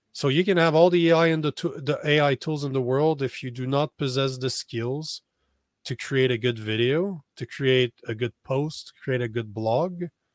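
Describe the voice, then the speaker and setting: An unremarkable speaking voice with ordinary pitch variation moves at a moderate pace in a very clean recording with a silent background and a dry, close sound with no echo. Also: man, fairly high pitch for a man. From Canada. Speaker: social media strategist. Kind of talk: interview.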